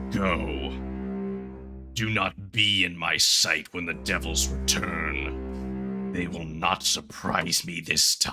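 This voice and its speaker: A booming, put-on character voice at a very slow pace over clear music in the background. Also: man, very deep, low pitch for a man. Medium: actual play. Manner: imperious, grave.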